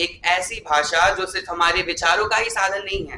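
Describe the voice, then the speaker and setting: A man speaks in a raised, projected voice. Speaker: student, chief magazine editor. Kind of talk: formal speech at event. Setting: stage with audience. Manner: formal.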